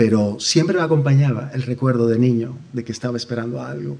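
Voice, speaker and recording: A man's medium-pitched voice at a very fast pace. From Dominican Republic. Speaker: church member giving testimony. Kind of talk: testimony. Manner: halting.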